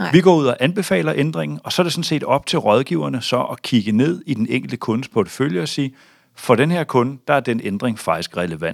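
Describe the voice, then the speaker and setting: There is vocal fry as a man speaks at a fairly quick pace. His pitch is medium, with very wide swings. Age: 40s. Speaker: bank chief strategist. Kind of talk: interview. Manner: hesitant, many fillers.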